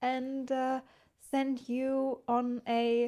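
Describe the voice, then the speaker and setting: This is a woman's voice. Its tone is dark and mellow. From Germany. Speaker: podcast co-host. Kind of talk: casual chat.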